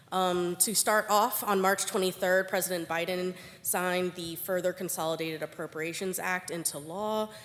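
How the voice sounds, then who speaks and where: A woman speaks at a moderate pace with hardly any pauses and a medium pitch. Her intonation is monotone and flat, and noticeable background noise is present. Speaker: government grants official. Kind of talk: conference presentation. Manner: hesitant with fillers.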